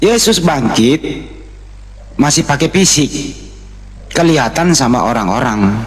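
Amid noticeable background noise, a man talks at a very slow pace with very wide pitch swings. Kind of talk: heated debate. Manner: interrupts loudly.

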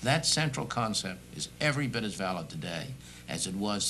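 Light background noise sits behind a man's voice. Vocal fry is heard as he speaks. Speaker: guest. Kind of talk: interview answer. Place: studio.

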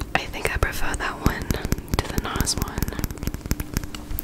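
Whispered words from a woman. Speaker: ASMR creator. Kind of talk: ASMR casual talk to camera. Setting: close microphone recording at home. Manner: whispered, soft-spoken. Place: home room. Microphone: studio mic.

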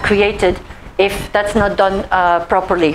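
Light background noise sits behind this recording. A woman speaks at a fairly slow pace. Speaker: presenter. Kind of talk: presentation talk. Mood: warm, laughing. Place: meeting room.

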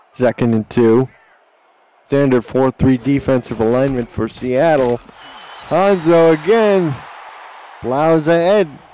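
Over crowd noise, a man talks very slowly with lively intonation. His voice is fairly high. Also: long, frequent pauses. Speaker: play-by-play sports commentator. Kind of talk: live play-by-play commentary of a simulated football game. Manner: erupts into shouting excitement on big plays.

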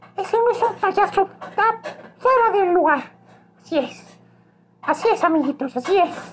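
A man's put-on character voice, extremely high for a man, at a moderate pace with long, frequent pauses. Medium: role play.

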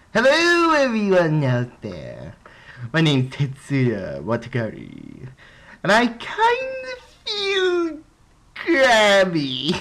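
Delivered at a very slow pace, this is a put-on character voice. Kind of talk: voice acting audition. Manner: comedic, hammy.

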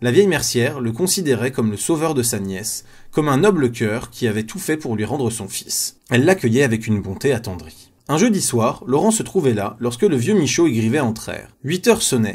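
On a very clean recording with a silent background, a man talks with hardly any pauses and very wide pitch swings. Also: medium pitch for a man. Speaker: audiobook narrator. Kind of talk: reading aloud. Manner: fast.

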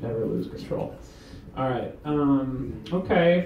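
Speech comes at a very slow pace with ordinary pitch variation. Room echo is audible, and there is light background noise. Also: man. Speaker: stand-up comedian. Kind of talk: rambling open-mic stand-up with crowd work. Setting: stage with audience. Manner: self-deprecating, meandering, giggly; loose, laid-back stoned delivery. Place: bar. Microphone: camera far.

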